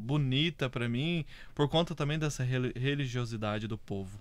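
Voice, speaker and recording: An unremarkable speaking voice belonging to a man, medium-pitched, its pitch varying in an ordinary way. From Brazil, southern Minas Gerais (Varginha). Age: 30s. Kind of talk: casual interview chat.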